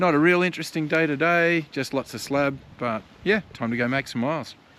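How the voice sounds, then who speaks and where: A man with a fairly high pitch, a bright, sharp tone, ordinary pitch variation, a fairly quick pace, and an Australian accent. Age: 60s. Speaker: adventure motorcyclist vlogger. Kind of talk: casual travel vlog.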